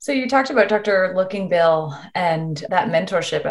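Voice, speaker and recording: A woman speaks at a moderate pace with a somewhat breathy voice and ordinary pitch variation. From Virginia, Richmond. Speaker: dermatologist interviewer. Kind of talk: interview.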